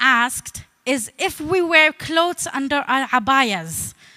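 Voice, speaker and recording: Dry and close with no echo, a woman's raised, projected voice carries a bright, sharp tone. Her intonation is lively. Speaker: comedian. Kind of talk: talk with comedy. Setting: stage with audience.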